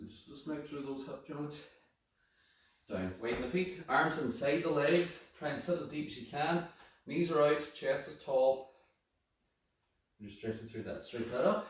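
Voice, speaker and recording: A man's fairly high, somewhat breathy voice with ordinary pitch variation, big swings in loudness, long, frequent pauses and audible room echo. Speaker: fitness instructor. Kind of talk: workout class instruction. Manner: fast.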